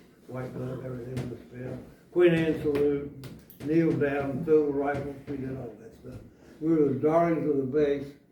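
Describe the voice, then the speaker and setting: Over noticeable background noise and audible room echo, a man with a fairly high pitch talks at a moderate pace in a monotone, flat intonation with big swings in loudness. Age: 90s. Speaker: Marine Corps veteran. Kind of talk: oral history interview. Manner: halting.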